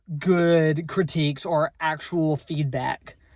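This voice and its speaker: A woman's voice on a very clean recording, the background silent. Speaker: vlogger. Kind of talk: casual monologue vlog. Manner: halting, many repetitions and fillers.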